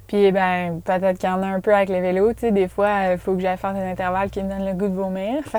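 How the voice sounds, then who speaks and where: A woman at a very fast pace and medium pitch, hardly pausing, in a flat, monotone intonation. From Quebec. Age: 20s. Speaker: professional mountain bike athlete. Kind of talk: casual interview chat. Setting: in a parked van.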